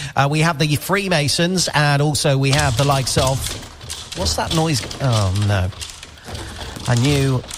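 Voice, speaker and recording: A man speaks at a fairly slow pace with long, frequent pauses and lively intonation. Noticeable background noise is present. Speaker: radio host. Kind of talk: live radio show chat. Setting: radio outside broadcast at a youth centre.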